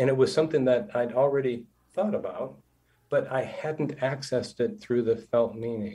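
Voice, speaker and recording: Somewhat breathy and medium in pitch, a man's voice carries lively intonation. He talks at a moderate pace. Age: 60s. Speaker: counselor. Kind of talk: interview storytelling.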